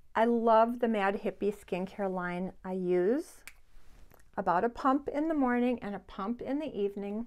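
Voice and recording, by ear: A woman speaks at a fairly slow pace and medium pitch, her tone slightly mellow and her pitch variation ordinary.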